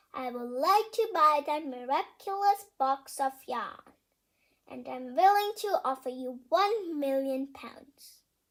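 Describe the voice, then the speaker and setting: In a put-on character voice, the speaker uses a high pitch and a fairly slow pace. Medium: read story. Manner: imperious, demanding.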